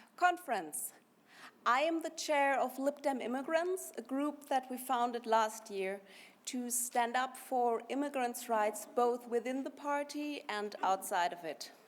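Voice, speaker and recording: A woman with a high pitch speaks at a fairly slow pace. Her intonation is lively. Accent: German. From Germany. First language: German. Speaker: party activist, conference speaker. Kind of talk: conference speech. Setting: party conference hall.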